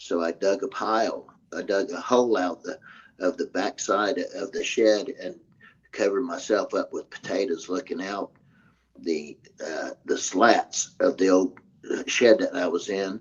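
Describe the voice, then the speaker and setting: A man speaks with an Arkansas accent. His pace is fairly slow. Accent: Southern US (Arkansas). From US South, Arkansas (Hot Springs, Garland County). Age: 60s. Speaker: military veteran. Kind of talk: interview, eyewitness account. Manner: halting, many fillers and restarts.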